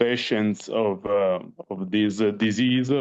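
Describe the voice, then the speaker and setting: This man speaks with a non-native accent. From Italy. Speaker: parent of patient. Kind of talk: online panel discussion. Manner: halting.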